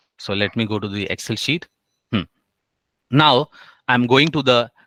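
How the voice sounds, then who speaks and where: In an Indian accent, a man speaks with a bright, sharp tone. His pitch varies in an ordinary way, and the sound is dry and close with no echo. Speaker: HR trainer. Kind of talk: online class tutorial. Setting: online session with screen share. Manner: slow.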